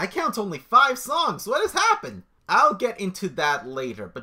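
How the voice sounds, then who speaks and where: An animated tone comes through on a very clean recording with a silent background. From Mexican-American family, grew up bilingual. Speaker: video blogger reviewing song contest. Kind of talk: solo video commentary.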